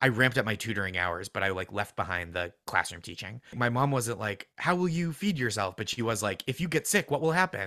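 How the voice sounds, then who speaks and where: With an American accent, a man speaks at a fairly quick pace in a bright, sharp tone, his pitch swinging very widely in a dry, close sound with no echo. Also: hardly any pauses. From suburbs of Boston. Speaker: comedian and writer. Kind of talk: casual chat. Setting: video call.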